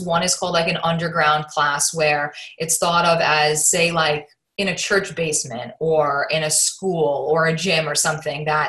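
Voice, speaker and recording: Her voice is fairly low in pitch with a bright, sharp tone, as this woman speaks with an American accent. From Queens, New York. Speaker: fitness studio owner. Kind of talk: interview. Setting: call.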